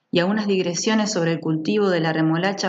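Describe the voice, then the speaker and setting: A woman's medium-pitched voice in an Argentine accent, at a fairly quick pace. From Argentina. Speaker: audiobook narrator. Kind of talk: literary short story reading.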